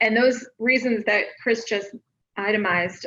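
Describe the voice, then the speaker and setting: A woman's normal speaking voice, fairly even in intonation, at a moderate pace. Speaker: marketing director. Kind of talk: presentation at live company meeting.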